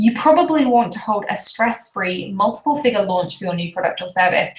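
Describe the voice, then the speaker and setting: In a British accent, a woman speaks fairly quickly, her fairly high voice carrying lively intonation. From Britain. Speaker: business coach. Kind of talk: webinar presentation. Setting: live video stream. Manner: animated.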